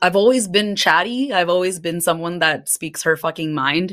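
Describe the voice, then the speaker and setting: A woman with an American accent at a fairly quick pace, with ordinary pitch variation. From US West Coast, San Francisco Bay Area. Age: 30s. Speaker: podcaster. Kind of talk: casual chat.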